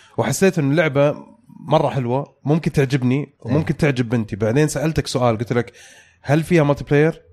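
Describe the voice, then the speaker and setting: A man with a normal speaking voice and a fairly high pitch. His loudness stays very even, with ordinary pitch variation. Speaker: podcast host. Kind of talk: casual chat. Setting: studio.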